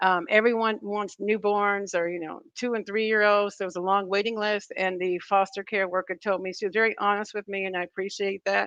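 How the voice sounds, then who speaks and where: A woman with a normal speaking voice talks at a fairly quick pace and medium pitch, with fairly even intonation. The sound is dry and close with no echo, against a quiet background. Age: 50s. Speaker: vlogger. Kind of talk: casual chat. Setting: live stream.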